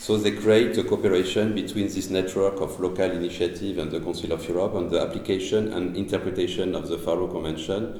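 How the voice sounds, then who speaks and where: A man with a very deep, low pitch talks at a very fast pace with hardly any pauses, his intonation monotone and flat. There is noticeable background noise and audible room echo. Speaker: cultural heritage activist. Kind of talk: presentation. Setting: panel at a castle with audience and interpretation. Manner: halting.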